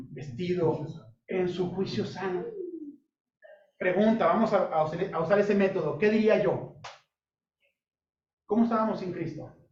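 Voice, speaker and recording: A man with a high voice talks at a fairly slow pace. He leaves long, frequent pauses, and the room echo is audible. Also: ordinary pitch variation. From Sinaloa, Mexico (Culiacán). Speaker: pastor / Bible teacher. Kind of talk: Bible study sermon. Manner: interactive, asks audience questions.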